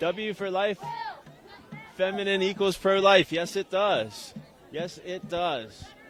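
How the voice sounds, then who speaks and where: Against music in the background, the speaker with an American accent goes at a very slow pace with long, frequent pauses and ordinary pitch variation. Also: man, high pitch for a man. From Philadelphia, US. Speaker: street reporter. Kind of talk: live street interviews. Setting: outdoors at a protest march.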